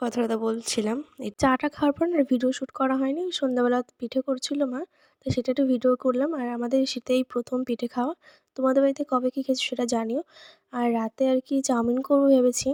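A woman speaks in a high, dark and mellow voice with monotone, flat intonation, heard dry and close with no echo. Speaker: vlogger. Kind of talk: vlog narration. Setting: at home, filmed by husband.

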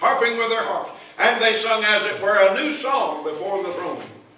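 A raised, projected voice speaks at a moderate pace. Audible room echo can be heard. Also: man. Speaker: evangelist preacher. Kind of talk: sermon. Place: church. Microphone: camera far.

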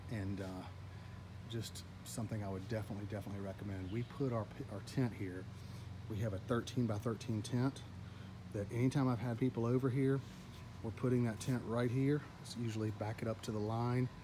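A man with a medium-pitched, somewhat breathy voice and a dark, mellow tone speaks at a fairly quick pace in fairly even intonation, with long, frequent pauses and noticeable background noise. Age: 40s. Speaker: homeowner YouTuber. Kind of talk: casual vlog tutorial. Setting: outdoors in backyard by pool. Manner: casual, filler-heavy. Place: garden. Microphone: phone near.

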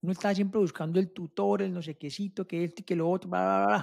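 Against a quiet background, a man talks at a fairly quick pace. His voice is high in pitch. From Colombia. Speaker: ecommerce mentor; podcast co-host. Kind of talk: casual chat. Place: home room. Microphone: mic placed close to mouth; studio mic.

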